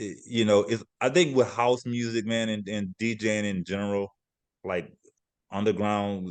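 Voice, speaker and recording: A man with a Louisiana accent speaks at a fairly low pitch with ordinary pitch variation. The background is quiet. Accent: Southern US (Louisiana). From Louisiana (Lafayette). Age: 40s. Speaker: DJ and dancer. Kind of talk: interview.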